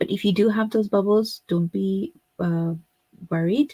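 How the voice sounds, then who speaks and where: On a very clean recording with a silent background, a woman with a Pakistani accent speaks at a very slow pace, her somewhat breathy voice dark and mellow in tone, with fairly even intonation and a dry, close sound with no echo. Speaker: craft tutor. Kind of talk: live stream tutorial. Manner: casual with many fillers.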